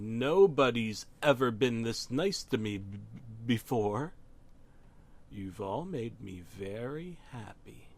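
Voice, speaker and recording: Someone performs a put-on character voice at a fairly slow pace. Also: man, medium pitch for a man. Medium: read story. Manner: excited yelling.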